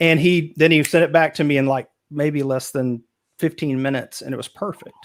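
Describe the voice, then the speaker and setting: Speaking at a fairly quick pace, a man with a Texas accent uses a fairly high pitch and fairly even intonation. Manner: casual, many filler words.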